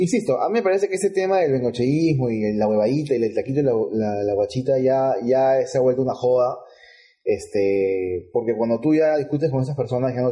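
A man with a dark, mellow tone, somewhat breathy, with lively intonation at a very fast pace. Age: 30s. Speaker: football podcast co-host. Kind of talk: casual chat.

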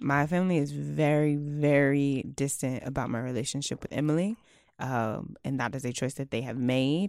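The speech shows ordinary pitch variation on a very clean recording with a silent background. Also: woman. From Houston, Texas. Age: 20s. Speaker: podcast host. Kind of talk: casual chat, interview.

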